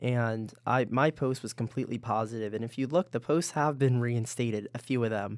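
A man speaks at a fairly quick pace with a medium pitch and hardly any pauses, in a normal speaking voice. The recording is very clean, with a silent background. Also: fairly even intonation. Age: 20s. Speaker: university student leader. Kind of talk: casual interview.

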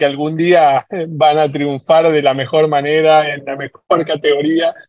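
Speaking at a moderate pace, a man has an unremarkable speaking voice pitched fairly high. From Argentina, San Martín (Buenos Aires). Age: 40s. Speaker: football fan. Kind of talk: casual chat.

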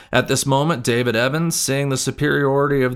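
In a very clean recording with a silent background, a man with a medium pitch speaks at a moderate pace in a dramatic, solemn tone. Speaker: podcast host and graduate student. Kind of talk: history narration. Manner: measured, solemn storytelling pace; formal, dramatic reading of a historical account.

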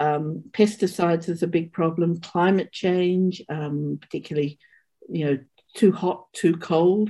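A woman with an Australian accent speaks at a fairly low pitch in a dark, mellow tone. Her pace is fairly slow and her intonation fairly even. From Sydney, Australia (born in England, emigrated at six). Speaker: mathematics professor. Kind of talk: interview with slide explanation. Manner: halting.

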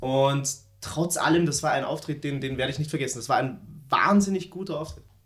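Somewhat breathy, the man's speech runs at a fairly quick pace. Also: fairly high pitch for a man, ordinary pitch variation. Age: 20s. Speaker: podcast co-host. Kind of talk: casual chat. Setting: at home, recording in an apartment.

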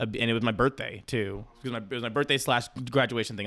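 Talking at a very fast pace, a man holds a medium pitch. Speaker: guest friend. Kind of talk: casual chat between friends.

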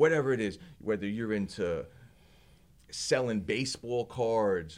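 At a fairly slow pace, a man with a New Jersey accent speaks with lively intonation. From New Jersey (Belleville). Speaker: martial artist and small business owner. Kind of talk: casual interview. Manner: halting.

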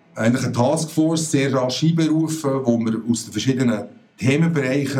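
A man's medium-pitched voice at a fairly quick pace, with ordinary pitch variation and audible room echo. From Switzerland, Bern. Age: 40s. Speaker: retail company CEO. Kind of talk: interview.

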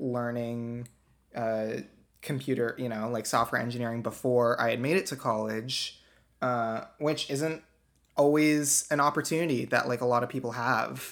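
At a fairly slow pace, a man uses a normal speaking voice with medium pitch and fairly even intonation. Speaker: software engineer, interviewee. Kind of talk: casual interview.

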